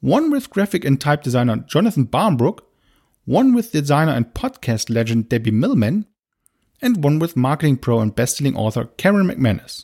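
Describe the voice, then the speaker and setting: A man with a non-native accent talks at a moderate pace in a fairly high pitch with very wide pitch swings and a dark, mellow tone, the sound dry and close with no echo on a very clean recording with a silent background. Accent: non-native English speaker. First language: German. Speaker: podcast host, marketing director. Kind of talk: scripted podcast monologue.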